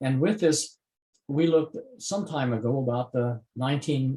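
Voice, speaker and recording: A man with an American accent speaks at medium pitch, his dark, mellow tone somewhat breathy. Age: 80s+. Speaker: retired biochemistry professor. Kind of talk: interview. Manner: halting, many filler sounds.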